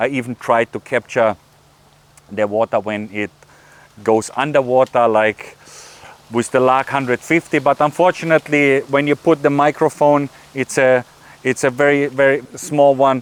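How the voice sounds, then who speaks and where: With a dry, close sound and no echo, a man of medium pitch speaks at a moderate pace and fairly even intonation, pausing long and often over noticeable background noise. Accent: German. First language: German. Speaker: YouTuber. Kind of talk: casual behind-the-scenes talk to camera. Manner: halting, many fillers and repeated words.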